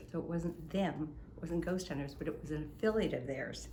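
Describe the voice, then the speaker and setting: A moderate pace and ordinary pitch variation, with audible room echo. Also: woman. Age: 70s. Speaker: innkeeper. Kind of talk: storytelling in casual chat. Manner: animated.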